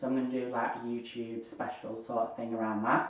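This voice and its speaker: With a northern English accent, a man speaks at a moderate pace in a room with audible echo. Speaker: YouTuber, hearing aid wearer. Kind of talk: casual Q&A vlog.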